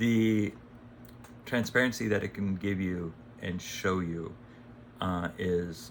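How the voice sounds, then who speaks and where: A man speaks very slowly with long, frequent pauses. His pitch is very deep and low, with ordinary variation. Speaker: AI consultant and channel host. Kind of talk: casual talking-head video. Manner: halting, stumbles over words.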